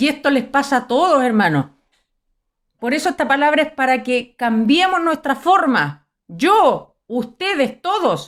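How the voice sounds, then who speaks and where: On a very clean recording with a silent background, a woman with a Chilean accent speaks at a fairly slow pace, her high voice showing lively intonation and very even loudness. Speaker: preacher. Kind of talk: sermon. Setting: live stream.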